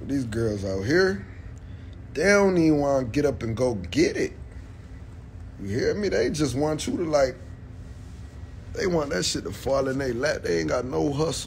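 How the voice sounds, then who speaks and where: Over light background noise, a somewhat breathy man talks at a moderate pace with lively intonation and long, frequent pauses. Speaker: live streamer. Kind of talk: casual live stream rant. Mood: animated, joking rant. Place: home room. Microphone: phone near.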